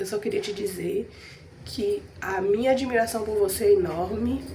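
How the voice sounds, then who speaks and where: Doing a put-on character voice, a hoarse woman at medium pitch talks at a moderate pace over light background noise. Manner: warm, admiring, addressing someone.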